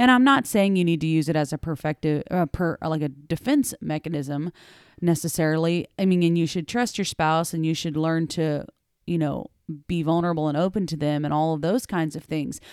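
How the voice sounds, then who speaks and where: This woman has a normal speaking voice, fairly low in pitch and moving at a fairly quick pace. The recording is very clean with a silent background, and the sound is dry and close with no echo. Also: ordinary pitch variation. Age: 30s. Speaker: podcast co-host. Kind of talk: casual chat.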